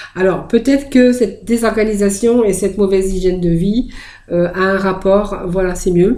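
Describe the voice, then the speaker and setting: Her tone dark and mellow, a woman speaks at a medium pitch and moderate pace, with ordinary pitch variation and very even loudness. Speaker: tarot card reader. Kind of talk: tarot reading video. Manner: halting, many hesitations.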